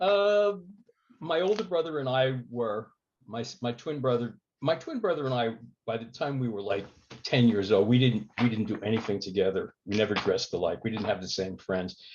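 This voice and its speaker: Speaking with an American accent, a man at a medium pitch uses very wide pitch swings at a moderate pace. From New Jersey, Jersey City. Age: 70s. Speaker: war veteran. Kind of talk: interview. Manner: halting, many fillers.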